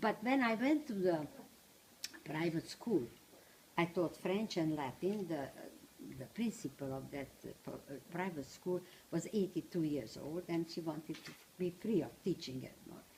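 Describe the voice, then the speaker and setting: A somewhat breathy woman with a fairly low pitch speaks at a moderate pace with lively intonation. She takes long, frequent pauses, and her loudness swings widely. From Transylvania, Romania. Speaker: Holocaust survivor speaker, retired teacher. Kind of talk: personal testimony talk to small audience. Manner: halting.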